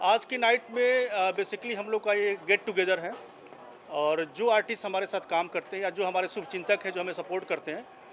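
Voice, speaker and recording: A man speaks in a high voice with fairly even intonation. Noticeable background noise runs behind him. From UP/Bihar, India. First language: Bhojpuri (speaking Hindi). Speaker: software engineer and founder of a Bhojpuri content group. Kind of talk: event interview. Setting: party event in Mumbai. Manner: hesitant, frequent fillers.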